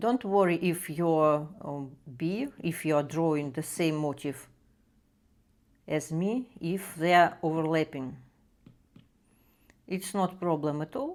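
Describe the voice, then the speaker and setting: With a Russian accent, the speaker goes at a very slow pace with long, frequent pauses and ordinary pitch variation, in a very clean recording with a silent background. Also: woman, fairly low pitch for a woman. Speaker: art tutorial creator. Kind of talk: drawing tutorial. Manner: halting, many fillers.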